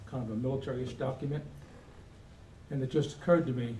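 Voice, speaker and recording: The man's pitch is fairly high. Audible room echo surrounds his voice. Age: 70s. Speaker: Air Force veteran presenting a resolution. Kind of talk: convention speech. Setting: convention hall with audience. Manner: halting.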